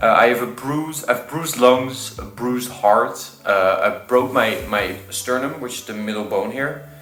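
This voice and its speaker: With a Dutch accent, a man speaks at a fairly slow pace with hardly any pauses and ordinary pitch variation. His loudness swings widely over music in the background. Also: medium pitch for a man. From Netherlands. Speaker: vlogger. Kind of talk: casual vlog talk. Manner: halting.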